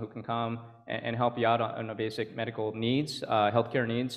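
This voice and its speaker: A man with an American accent, at a very fast pace. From California. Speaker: state senator. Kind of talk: panel discussion.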